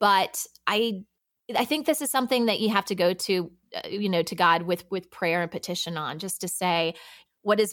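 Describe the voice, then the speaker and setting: A woman with an unremarkable speaking voice at a medium pitch, ordinary pitch variation and a moderate pace. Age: 40s. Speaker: podcast producer and working mom. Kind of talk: casual interview chat. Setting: remote podcast recording.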